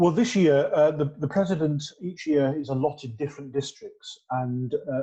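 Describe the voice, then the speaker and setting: The man's voice is fairly high in pitch, somewhat breathy and dark and mellow in tone. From northern England, North Yorkshire (Skipton). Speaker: Methodist minister. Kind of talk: interview. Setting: church. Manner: halting, many fillers and repeats.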